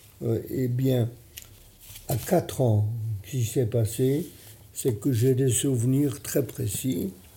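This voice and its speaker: A man with a medium pitch, ordinary pitch variation and a dark, mellow, somewhat breathy tone speaks at a very slow pace with long, frequent pauses. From Poland. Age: 90s. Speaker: Holocaust survivor and retired surgeon. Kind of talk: testimony.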